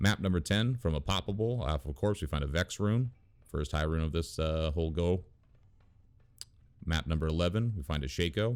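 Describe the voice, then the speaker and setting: A man speaks with a very deep, low pitch and lively intonation, pausing long and often. The recording is very clean, with a silent background. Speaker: gaming youtuber. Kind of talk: gameplay commentary voiceover. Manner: fast.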